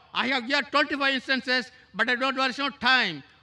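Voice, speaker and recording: Raised and projected, this man's voice sits at an extremely high pitch, with a bright, sharp tone, fairly even intonation and a fairly quick pace. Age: 60s. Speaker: audience member asking a question, retired lecturer; audience member, retired lecturer. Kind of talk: audience question at a public lecture. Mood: challenging, earnest. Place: hall. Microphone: handheld.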